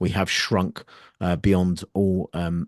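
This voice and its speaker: A man with a British accent speaks fairly slowly in a very deep, low voice. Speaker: podcast host and army veteran. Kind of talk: interview.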